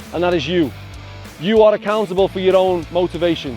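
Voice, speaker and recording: With music in the background, a man with a Scouse accent and a high pitch talks at a fairly quick pace with ordinary pitch variation. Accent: Scouse (Liverpool English). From England. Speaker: youth soccer coach. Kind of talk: motivational speech to a youth team.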